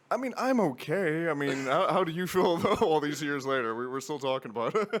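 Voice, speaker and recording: Against noticeable background noise, a man talks at a fairly quick pace with fairly high pitch and lively intonation. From Northern Ireland, then rural Tennessee. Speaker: podcast guest, Bible college alumnus. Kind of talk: casual chat.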